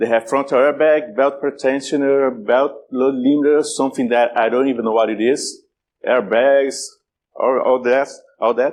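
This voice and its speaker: This man's voice sits fairly high, with a strong Brazilian accent. His loudness stays very even and his intonation fairly even. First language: Portuguese. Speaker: cybersecurity speaker. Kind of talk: conference talk. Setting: stage with audience. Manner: halting, many repetitions.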